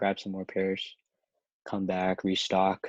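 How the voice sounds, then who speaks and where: Against a quiet background, a man with a very deep, low pitch talks at a fairly slow pace, the sound dry and close with no echo. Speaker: sneaker reseller and podcast co-host. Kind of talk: casual podcast chat. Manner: halting, many fillers.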